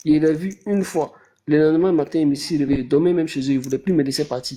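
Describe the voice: A man with a fairly high pitch and a dark, mellow tone talks at a fast pace with fairly even intonation.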